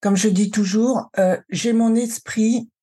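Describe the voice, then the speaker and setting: Somewhat breathy and dark, mellow in tone, a woman speaks at a medium pitch and a fairly slow pace with ordinary pitch variation. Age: 60s. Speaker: cancer survivor and emotional wellbeing coach. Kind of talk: testimony.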